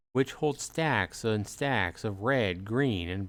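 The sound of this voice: An unforced voice reads with lively intonation.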